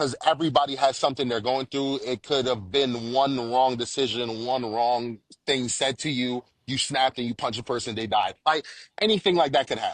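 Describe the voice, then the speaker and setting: In a dry, close sound with no echo and a quiet background, a man speaks at a moderate pace with a medium pitch and ordinary pitch variation, an unremarkable speaking voice. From Jamaica, moved to US around age six. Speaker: father sharing his parenting story. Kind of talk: casual podcast interview. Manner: casual, repetitive with frequent bro and false starts.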